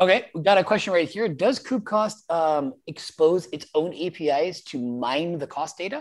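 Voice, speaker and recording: Energetic and enthusiastic, the speaker keeps a moderate pace with hardly any pauses. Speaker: meetup host. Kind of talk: casual moderated meetup. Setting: video call. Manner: energetic, enthusiastic.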